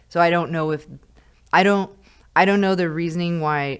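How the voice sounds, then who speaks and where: On a very clean recording with a silent background, a woman with an American accent speaks at a moderate pace in an unremarkable speaking voice with fairly low pitch. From California, small mountain town. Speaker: high school teacher. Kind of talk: casual chat.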